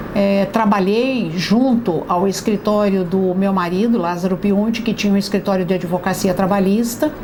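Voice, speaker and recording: The voice keeps a moderate pace amid noticeable background noise. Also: woman. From Brazil, Itu (São Paulo state). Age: 60s. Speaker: local politician. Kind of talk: testimony interview. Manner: halting, with fillers.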